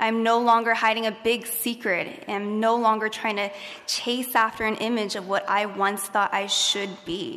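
In a room with audible echo and noticeable background noise, a woman with a fairly high pitch and an American accent talks at a moderate pace in a monotone, flat intonation. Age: 20s. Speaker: graduating student speaker. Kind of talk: commencement speech. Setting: stage with audience.

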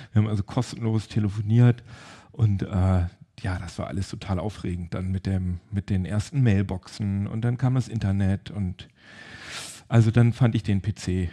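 Against a quiet background, a somewhat breathy voice with a dark, mellow tone moves at a moderate pace. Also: man. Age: 40s. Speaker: tech podcast host. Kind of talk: casual chat.

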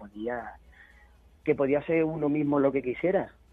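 A man talks at a middling speed, and his pitch varies in an ordinary way. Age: 40s. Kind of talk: radio interview. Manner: halting.

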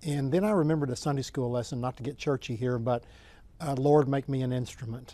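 A man with a strong Oklahoman accent speaks at a very fast pace in a dark, mellow tone. His pitch sits in the medium range with ordinary variation. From Oklahoma, US. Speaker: author and sports administrator. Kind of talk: interview answers.

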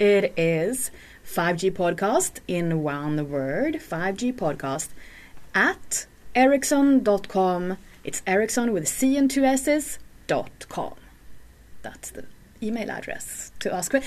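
A woman speaks at a very slow pace and a medium pitch, with very wide pitch swings and long, frequent pauses. The recording is very clean, with a silent background. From Sweden. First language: Swedish. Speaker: podcast host. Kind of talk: casual chat. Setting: studio.

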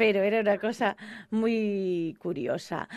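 A woman's medium-pitched voice is heard over a quiet background. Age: 40s. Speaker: radio host. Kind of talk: casual chat.

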